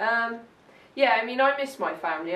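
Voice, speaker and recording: Audible room echo and noticeable background noise fill the recording. A woman speaks with ordinary pitch variation. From South Africa, Johannesburg. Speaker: interviewee. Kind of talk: oral history interview.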